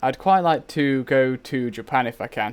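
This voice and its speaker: The speaker is a man with an English accent. His pitch varies in an ordinary way. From England. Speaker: gaming streamer. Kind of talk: casual live stream chat. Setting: live game stream.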